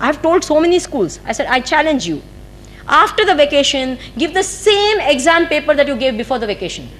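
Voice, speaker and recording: A woman with an Indian accent talks at a fairly quick pace in a high voice. Her pitch swings very widely. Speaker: spiritual teacher. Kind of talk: spiritual discourse. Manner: fast.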